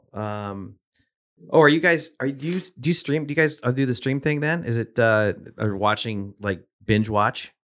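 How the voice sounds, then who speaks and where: This man has a normal speaking voice at medium pitch, moving at a moderate pace with lively intonation. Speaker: podcast host. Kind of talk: casual interview chat. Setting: studio.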